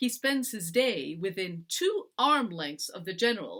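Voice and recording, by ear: With lively intonation, this speaker is reading aloud in a natural voice.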